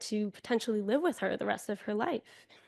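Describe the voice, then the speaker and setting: A woman with an American accent and an ordinary speaking voice talks at a fairly quick pace with ordinary pitch variation, her sound dry and close with no echo over a quiet background. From US Northeast, Buffalo, New York. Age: 30s. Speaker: keynote speaker. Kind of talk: inspirational speech.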